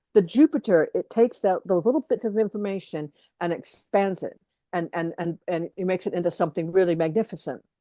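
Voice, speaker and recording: A woman with an American accent speaks at a medium pitch with ordinary pitch variation. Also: fairly quick pace. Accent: American, unchanged after years in England. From US Midwest, Detroit, Michigan. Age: 50s. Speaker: astrologer and educator. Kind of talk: interview conversation. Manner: halting, many fillers and repetitions.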